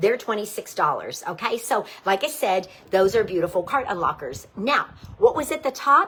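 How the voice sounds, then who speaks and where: An animated woman with an American accent speaks at a moderate pace in a fairly high pitch and a bright, sharp tone. Her pitch swings very widely. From Pittsburgh, Pennsylvania. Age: 60s. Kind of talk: live sales presentation. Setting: live video stream.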